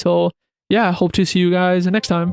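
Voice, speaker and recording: A man's high-pitched voice, dry and close with no echo, over music in the background. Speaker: podcast host. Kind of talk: casual podcast monologue. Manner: casual, filler-heavy.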